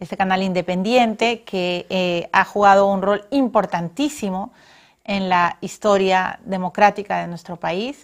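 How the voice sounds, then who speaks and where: A woman at a fairly slow pace, fairly even intonation, quiet background. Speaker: TV show host. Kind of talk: closing remarks to camera. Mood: warm, celebratory. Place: studio.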